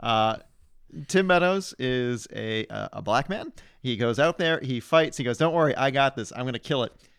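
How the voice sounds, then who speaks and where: An ordinary speaking voice, this man talks with an American accent at a medium pitch and moderate pace with lively intonation, on a very clean recording with a silent background. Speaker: podcast guest, amateur filmmaker. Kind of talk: casual chat.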